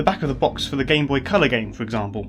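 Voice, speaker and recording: A man's voice with music playing behind it. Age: 20s. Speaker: YouTube video essayist. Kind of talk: casual narrated video commentary. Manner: wry, rambling.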